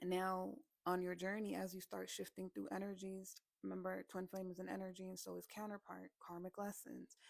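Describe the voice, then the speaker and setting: The sound is dry and close, with no echo. A woman talks at a fairly quick pace. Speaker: spiritual channel host. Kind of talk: monologue to camera.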